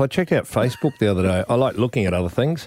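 Talking at a very fast pace, a man has an Australian accent. His intonation is lively. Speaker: radio host. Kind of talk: casual chat.

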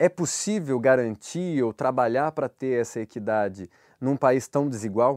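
Speaking in a normal speaking voice, a man talks at a fairly slow pace with ordinary pitch variation, his sound dry and close with no echo on a very clean recording with a silent background. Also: medium pitch for a man. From Brazil, Minas Gerais. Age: 30s. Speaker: podcast host. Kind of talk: interview. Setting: studio.

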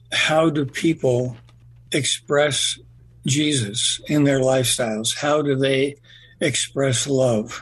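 Very slowly and with fairly even intonation, a man speaks in a somewhat breathy, fairly high voice. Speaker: radio host. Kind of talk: radio interview. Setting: studio.

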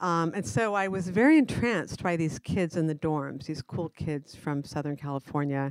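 Here a woman talks with an American accent and ordinary pitch variation. The recording is very clean with a silent background and a dry, close sound with no echo. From Arizona. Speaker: college librarian. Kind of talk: interview.

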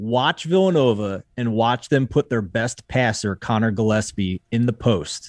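Delivered with an American accent in an ordinary speaking voice, the speech has lively intonation, hardly any pauses and a fairly slow pace, with a dry, close sound, no echo, and a very clean recording with a silent background. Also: man, medium pitch for a man. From Philadelphia. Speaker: sports betting editor. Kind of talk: podcast sports betting discussion.

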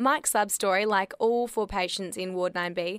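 On a very clean recording with a silent background, a woman talks at a fairly quick pace and medium pitch with ordinary pitch variation. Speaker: theatre reviewer. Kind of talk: scripted narration.

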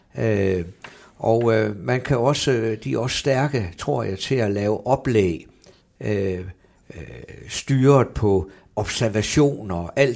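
Lively intonation from a man with a fairly low pitch at a very slow pace, on a very clean recording with a silent background. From northern Jutland, Brønderslev. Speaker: football coach. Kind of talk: interview. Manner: halting, many fillers and repetitions.

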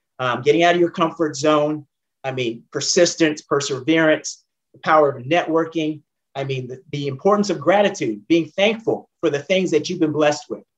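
A man with a plain, everyday voice speaks at a moderate pace, his fairly high pitch varying in an ordinary way. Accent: American. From Northern California (San Jose, Oakland). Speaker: former racing driver and engineer. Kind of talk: interview.

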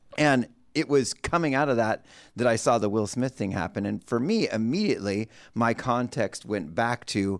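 At a moderate pace, a man speaks at a medium pitch with ordinary pitch variation, recorded very cleanly over a silent background. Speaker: podcast co-host. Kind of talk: podcast panel discussion. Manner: casual, animated.

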